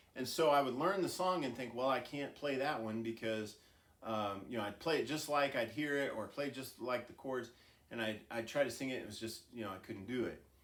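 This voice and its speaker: A man's voice with audible room echo. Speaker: music teacher. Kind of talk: lecture. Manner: casual, hesitant with fillers.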